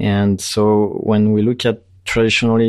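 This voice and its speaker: A man with a French accent, flat monotone intonation and a quiet background. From France. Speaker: tech company CEO. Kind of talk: interview. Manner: hesitant, many fillers.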